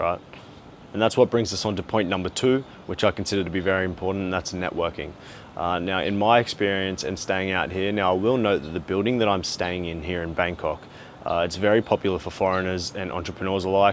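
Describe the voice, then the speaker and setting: Someone with an Australian accent speaks at a very fast pace, the intonation fairly even. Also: man. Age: 20s. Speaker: travel and business vlogger. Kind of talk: vlog monologue. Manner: frequent filler 'uh'.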